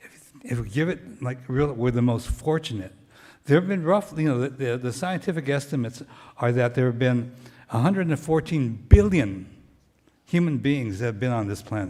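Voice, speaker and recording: A man with an American accent speaks at medium pitch with lively intonation and a dark, mellow tone. The recording is very clean, with a silent background. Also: moderate pace. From US, Japanese American family. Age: 70s. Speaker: former county human relations director, guest speaker. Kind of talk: talk to church congregation.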